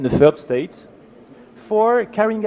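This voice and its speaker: In a French accent, a man talks at a moderate pace with lively intonation over noticeable background noise. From France. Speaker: law professor. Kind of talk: conference presentation. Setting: conference panel with audience and slides.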